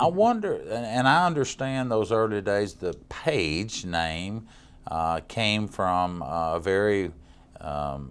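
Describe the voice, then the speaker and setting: Speaking with a Tennessee accent, a man talks at a very slow pace in a fairly low voice that makes very wide pitch swings. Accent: Southern US (Tennessee). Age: 60s. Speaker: county mayor, TV interviewer. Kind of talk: TV interview.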